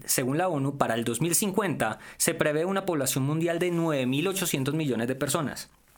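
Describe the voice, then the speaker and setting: A man talks fairly slowly at a fairly high pitch with ordinary variation. He hardly pauses, and background noise is noticeable. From Colombia, Valle del Cauca. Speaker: tech commentator. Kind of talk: casual chat.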